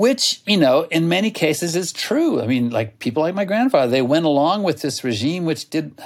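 This man has an ordinary speaking voice with lively intonation and a moderate pace, recorded very cleanly against a silent background. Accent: American. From US, Oklahoma. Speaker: author and magazine writer. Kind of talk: interview.

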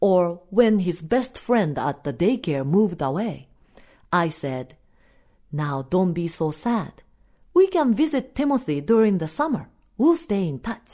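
In a Japanese accent, a woman with a medium pitch speaks at a fairly slow pace with very wide pitch swings against a quiet background. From Japan (Osaka). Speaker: storyteller. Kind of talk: storytelling.

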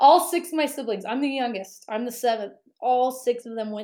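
A woman with an American accent, fairly high pitch, lively intonation and a dark, mellow tone. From Utah, US. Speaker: sports radio host. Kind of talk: interview conversation.

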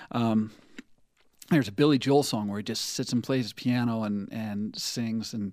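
With an American accent, a man has a plain, everyday voice, speaking at a fairly quick pace and medium pitch with fairly even intonation. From southeastern Utah. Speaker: rock band guitarist. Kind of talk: casual interview chat. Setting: radio studio.

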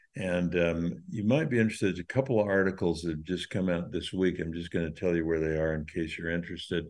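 Against a quiet background, a man with a very deep, low voice speaks very fast with ordinary pitch variation. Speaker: podcast host. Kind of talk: casual chat.

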